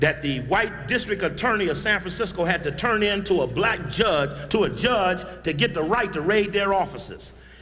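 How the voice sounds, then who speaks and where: Music plays in the background while a man talks with a high pitch and ordinary pitch variation. His fairly quick delivery carries audible room echo. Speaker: activist speaker. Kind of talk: public speech. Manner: fast; animated.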